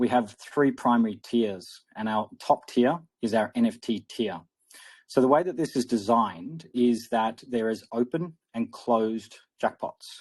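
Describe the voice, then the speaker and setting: Recorded very cleanly against a silent background, a man with an Australian accent speaks at a medium pitch, the sound dry and close with no echo. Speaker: crypto project founder. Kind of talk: interview.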